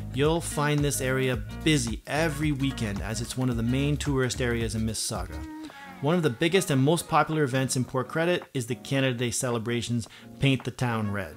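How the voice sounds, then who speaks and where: Clear music runs behind a man whose speech moves fairly quickly. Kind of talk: scripted presenter talk. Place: home room.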